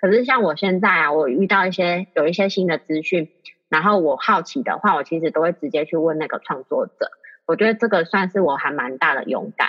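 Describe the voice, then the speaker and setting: Her pitch fairly low, a woman talks at a fairly quick pace with lively intonation. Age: 30s. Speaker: aromatherapist, course graduate. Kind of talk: interview testimony. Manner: halting, many fillers.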